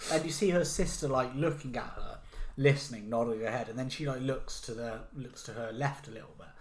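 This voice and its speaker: A man with a British accent speaks at a fairly quick pace in a medium pitch, his somewhat breathy voice showing ordinary pitch variation and big swings in loudness against audible room echo. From Britain. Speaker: podcast co-host. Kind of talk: casual chat. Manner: animated.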